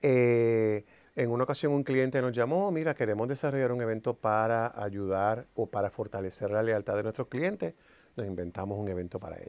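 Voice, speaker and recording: With ordinary pitch variation, the man keeps to a moderate pace. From Puerto Rico. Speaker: entertainer and producer; interview guest. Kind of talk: interview. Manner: animated. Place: studio. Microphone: lapel.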